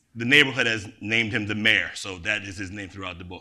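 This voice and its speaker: There is audible room echo around a man's bright, sharp-toned voice. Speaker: poet. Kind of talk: poetry reading. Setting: stage with audience.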